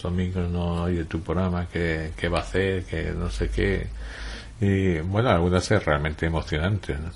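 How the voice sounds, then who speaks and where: The speaker is a man with a very deep, low pitch. He goes at a fairly slow pace. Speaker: writer, journalist and radio broadcaster being interviewed. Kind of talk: interview answer, conversational.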